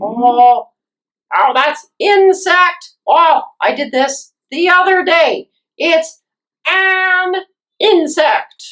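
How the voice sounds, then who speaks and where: This cartoonish character voice is extremely high in pitch and moves at a very slow pace. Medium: puppet.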